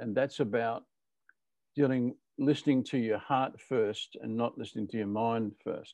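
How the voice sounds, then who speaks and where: With a plain, everyday voice, a man speaks at a medium pitch and a moderate pace, with fairly even intonation against a quiet background. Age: 60s. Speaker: leadership author, conversation host. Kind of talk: casual chat.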